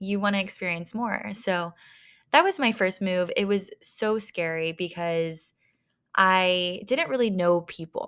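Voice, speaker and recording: A woman reads at a fairly slow pace in an ordinary speaking voice, medium in pitch with ordinary variation. The recording is very clean, with a silent background. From small-town Texas. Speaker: podcast host. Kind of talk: casual solo talk.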